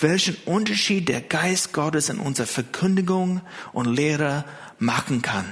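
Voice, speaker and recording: Speaking at a fairly slow pace, a man with a non-native accent has a fairly high voice. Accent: foreign accent in German. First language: not German (speaking German). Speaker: pastor. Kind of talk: sermon. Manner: hesitant, many fillers.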